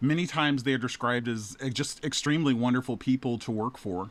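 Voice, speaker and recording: Over a very clean recording with a silent background, a man has an ordinary speaking voice, a medium pitch, a moderate pace and ordinary pitch variation. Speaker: podcast interviewer. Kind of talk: interview questions.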